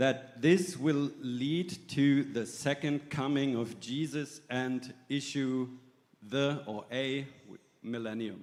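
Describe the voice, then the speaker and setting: A man with a German accent speaks very slowly at a medium pitch. His pitch varies in an ordinary way. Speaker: church delegate. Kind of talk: assembly floor speech.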